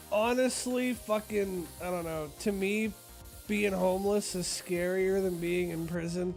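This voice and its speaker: With music in the background, a man speaks fairly slowly at a high pitch with fairly even intonation. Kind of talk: casual gaming stream talk. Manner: casual, profane.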